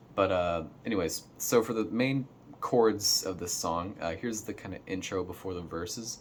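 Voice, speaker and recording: A man with a fairly low-pitched voice is heard over noticeable background noise. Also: ordinary pitch variation, moderate pace. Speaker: guitar teacher. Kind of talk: tutorial. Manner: halting, many fillers.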